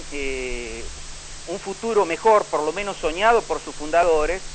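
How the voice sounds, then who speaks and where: Noticeable background noise runs through the clip. A man talks at a fairly slow pace. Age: 60s. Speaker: local historian. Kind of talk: radio interview. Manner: halting.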